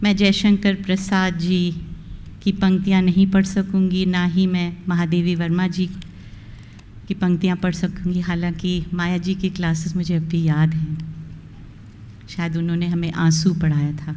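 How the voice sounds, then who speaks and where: In a room with audible echo, a woman speaks with monotone, flat intonation at a fairly low pitch, somewhat breathy and with a dark, mellow tone. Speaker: retiring college principal. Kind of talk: farewell speech.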